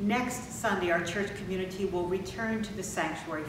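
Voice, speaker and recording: Over noticeable background noise and audible room echo, a woman talks at a moderate pace with a fairly low pitch. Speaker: pastor. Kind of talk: church announcements. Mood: warm, calm, welcoming. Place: church.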